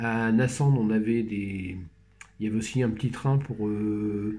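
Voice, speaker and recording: A man speaks with a dark, mellow tone that is somewhat breathy. His pitch varies in an ordinary way, and the room echo is audible. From Normandy, France (Brionne). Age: 60s. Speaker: researcher and company manager. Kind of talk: casual conversational interview. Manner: halting, many hesitations.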